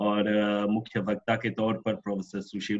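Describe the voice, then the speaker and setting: A man is speaking. His pitch is fairly low. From Mauritius. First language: French (speaking Hindi). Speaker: professor chairing a webinar. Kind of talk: webinar chair's summary remarks. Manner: hesitant, frequent filler sounds.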